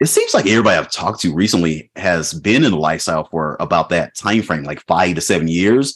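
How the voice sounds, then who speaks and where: This man's voice is very deep and low. He speaks at a fairly quick pace with lively intonation. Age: 40s. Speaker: podcast host. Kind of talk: casual chat.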